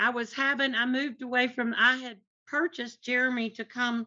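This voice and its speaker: A woman with a strong Tennessee accent speaks at a high pitch and a moderate pace. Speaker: artist's wife. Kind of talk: casual chat. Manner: animated.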